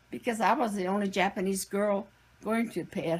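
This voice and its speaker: A woman speaks at a moderate pace with vocal fry. Her pitch sits in the medium range, with ordinary pitch variation. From US Pacific Northwest (Washington, Oregon, Idaho). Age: 80s+. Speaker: internment camp survivor, grandmother. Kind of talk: interview, personal recollection.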